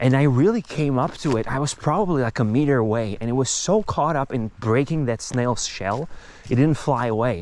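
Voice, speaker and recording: Lively in intonation, a man with a Czech accent talks at a moderate pace and medium pitch. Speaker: nature vlogger. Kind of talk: casual walking monologue. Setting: outdoors, walking in nature. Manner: halting, many fillers.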